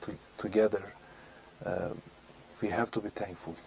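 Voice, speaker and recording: A man's fairly low voice in a monotone, flat delivery. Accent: Turkish. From Turkey, Istanbul. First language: Turkish. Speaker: speaker on Islam, guest on local TV show. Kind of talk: interview. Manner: halting, many fillers.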